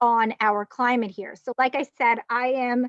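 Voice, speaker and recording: With a Long Island accent, a woman speaks at a high pitch with fairly even intonation, the sound dry and close with no echo. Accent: Long Island New York. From Long Island, New York. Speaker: sommelier and winery manager. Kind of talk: virtual guided wine tasting presentation. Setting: video call, outdoors on a patio. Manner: halting, many fillers and restarts.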